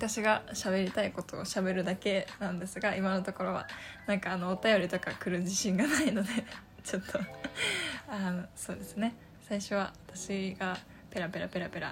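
With music playing in the background, a woman talks at a moderate pace and medium pitch with ordinary pitch variation. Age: 20s. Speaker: podcaster. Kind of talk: casual solo talk. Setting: home room. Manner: halting.

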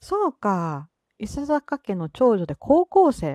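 A woman with a Kansai accent speaks in a high pitch with very wide pitch swings and a dark, mellow tone, recorded dry and close with no echo on a very clean recording with a silent background. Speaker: solo podcaster. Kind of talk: casual solo talk. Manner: relaxed, laid-back; frequent laughter.

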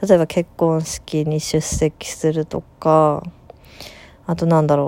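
A woman speaks very slowly in a very deep, low voice, her tone dark and mellow and her intonation flat and monotone. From Japan, rural Aichi. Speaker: podcaster, musician. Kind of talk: casual monologue.

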